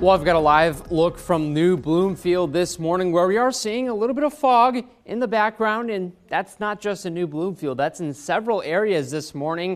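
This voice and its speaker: A man talks at a moderate pace with hardly any pauses. His voice is high-pitched with lively intonation. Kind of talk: weather forecast presentation. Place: studio. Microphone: lapel.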